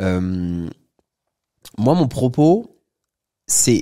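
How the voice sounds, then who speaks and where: With a dark, mellow tone and very wide pitch swings, the voice comes across with a dry, close sound and no echo. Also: man. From France, Paris. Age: 30s. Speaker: entrepreneur and property investor. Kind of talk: casual interview chat.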